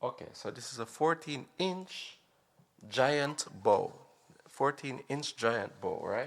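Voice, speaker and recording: Very slowly and with big swings in loudness, a man speaks in a non-native accent. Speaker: drumming tutorial youtuber. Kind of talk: tutorial. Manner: halting, with many fillers.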